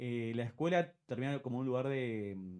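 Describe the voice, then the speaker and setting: A man speaks at medium pitch with a dark, mellow tone and ordinary pitch variation. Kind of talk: interview.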